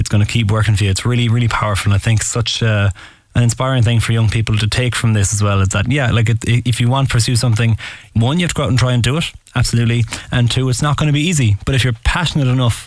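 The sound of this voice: A man at medium pitch, very fast pace and fairly even intonation.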